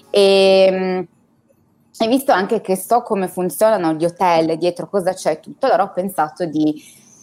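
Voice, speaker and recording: Over music in the background, a woman talks at a medium pitch and a fairly slow pace, with ordinary pitch variation and long, frequent pauses. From Turin, northern Italy. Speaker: expat guest. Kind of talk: interview, casual chat.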